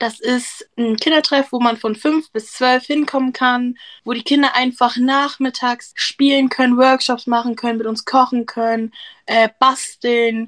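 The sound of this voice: Speaking at a moderate pace, a woman with a fairly high, fairly bright voice keeps her pitch from moving much.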